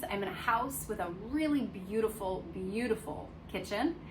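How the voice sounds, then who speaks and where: A woman with an American accent speaks at a fairly high pitch and a moderate pace. Room echo is audible. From United States. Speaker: dog care vlogger. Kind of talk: casual vlog talk, unedited single take. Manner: conversational with frequent fillers.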